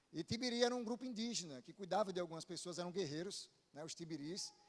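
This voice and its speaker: Speaking at a very fast pace, a man with a Paraíba accent has a high pitch. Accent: Northeastern Brazilian (Paraíba). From Paraíba, Brazil (Northeast). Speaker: pastor. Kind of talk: sermon. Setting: church.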